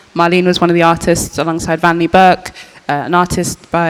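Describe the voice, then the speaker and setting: Over noticeable background noise, a woman talks at a very fast pace. Her fairly low pitch stays monotone and flat. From English Midlands, Birmingham. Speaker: artist, curator and archivist. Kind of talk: panel discussion. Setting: post-screening panel with audience.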